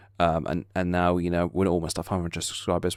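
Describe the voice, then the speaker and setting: Speaking fairly quickly with an English accent, a man has a very deep, low pitch on a very clean recording with a silent background. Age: 20s. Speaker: YouTuber. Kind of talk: casual vlog update. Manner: halting, many fillers.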